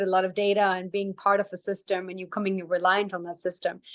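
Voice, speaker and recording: A woman talks at a fairly quick pace with a quiet background behind her. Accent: non-native. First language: not English. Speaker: tech ethics expert, panelist. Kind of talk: panel discussion.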